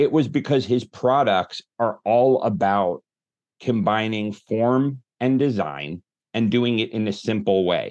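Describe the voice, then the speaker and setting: A man with an unremarkable speaking voice talks at a fairly slow pace and medium pitch, his intonation lively and his loudness very even against a quiet background. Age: 40s. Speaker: marketing agency founder and author. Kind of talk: interview conversation.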